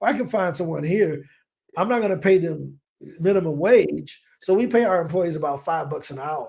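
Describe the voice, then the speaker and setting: With an American accent, a man talks at a moderate pace in a high voice, his tone animated and his pitch variation ordinary. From US Midwest, East St. Louis, Illinois. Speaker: entrepreneur. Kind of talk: podcast interview.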